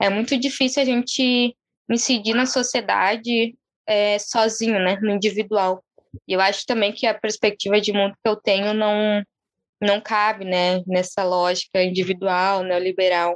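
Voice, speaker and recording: In a dry, close sound with no echo, a woman of medium pitch speaks at a fairly slow pace with fairly even intonation and very even loudness. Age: 20s. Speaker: city councillor candidate and activist. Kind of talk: interview. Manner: calm.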